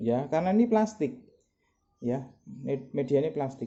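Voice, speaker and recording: A soft-spoken man at a fairly slow pace, with very wide pitch swings. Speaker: product seller demonstrating cleaning product. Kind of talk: product demonstration tutorial.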